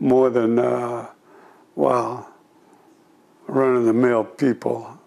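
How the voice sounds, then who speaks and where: With noticeable background noise, a man speaks at a medium pitch with an American accent. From California, US. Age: 80s+. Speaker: war veteran. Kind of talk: oral history interview. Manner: halting.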